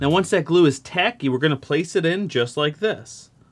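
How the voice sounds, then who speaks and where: A man talks at a moderate pace as music plays in the background. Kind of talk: tutorial. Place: workshop.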